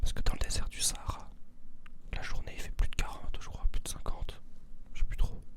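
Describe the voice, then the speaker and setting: A man whispers, leaving long, frequent pauses. Noticeable background noise runs underneath. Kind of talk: ASMR soft-spoken talk to camera for insomniacs. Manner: soft-spoken, whispering.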